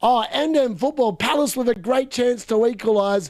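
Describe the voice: A man with an Australian accent speaks at an extremely high pitch and a moderate pace. His tone is slightly mellow, with ordinary pitch variation.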